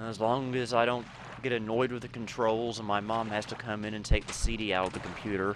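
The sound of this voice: A man's fairly low voice at a fairly quick pace, with little pitch movement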